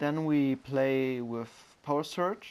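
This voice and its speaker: The speech moves at a very slow pace. The recording is very clean, with a silent background. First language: not English. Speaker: gaming video creator. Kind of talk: game tutorial. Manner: hesitant, frequent fillers.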